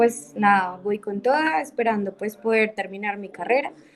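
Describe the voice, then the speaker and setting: A woman talks over noticeable background noise. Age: 20s. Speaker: university student. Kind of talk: class introduction in video session.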